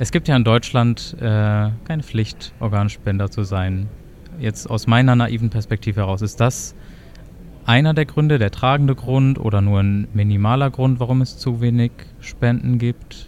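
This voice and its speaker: A man speaks in an unremarkable speaking voice at a medium pitch and a moderate pace, with ordinary pitch variation. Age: 20s. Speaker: health economics student, podcast co-host. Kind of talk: casual chat and interview.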